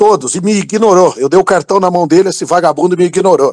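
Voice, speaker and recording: Recorded dry and close with no echo, a man speaks at a moderate pace with a high pitch and ordinary pitch variation. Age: 50s. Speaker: political commentator, university professor. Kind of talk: heated rant in group audio chat. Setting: online audio room. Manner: animated.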